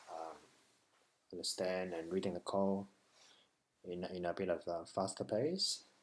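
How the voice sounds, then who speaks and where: Speaking with a non-native accent, a man with a very deep, low pitch talks at a fairly slow pace in a monotone, flat intonation, with long, frequent pauses. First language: not English. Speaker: web developer learner. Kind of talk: tutorial. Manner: halting.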